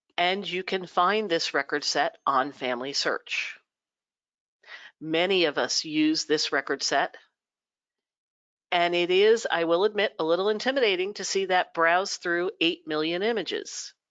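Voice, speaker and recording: A woman speaks at a fairly slow pace with a fairly low pitch. Her pitch varies in an ordinary way, in an ordinary speaking voice. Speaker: genealogy society presenter. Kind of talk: webinar presentation. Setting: live webinar broadcast.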